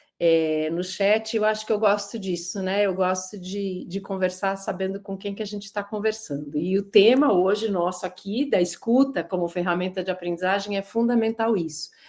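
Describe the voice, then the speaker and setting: Here is an ordinary speaking voice from a woman at medium pitch, with ordinary pitch variation and a moderate pace with hardly any pauses. The recording is very clean, with a silent background. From São Paulo, Brazil. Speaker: lecturer. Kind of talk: lecture.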